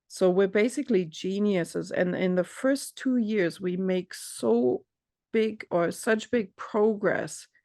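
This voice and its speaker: The speaker has a non-native accent and talks at a very slow pace. The recording is very clean, with a silent background. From Europe. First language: not English. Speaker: coach. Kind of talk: casual chat.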